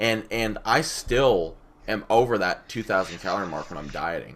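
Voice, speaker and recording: This man's voice sits at a medium pitch and carries some vocal fry. His intonation is lively. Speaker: fitness podcast co-host. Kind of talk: casual chat. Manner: loud.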